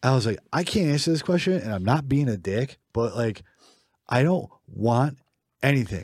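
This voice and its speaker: Recorded very cleanly with a silent background, a man speaks at a medium pitch in a somewhat breathy voice. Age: 30s. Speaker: podcast co-host. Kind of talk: casual chat.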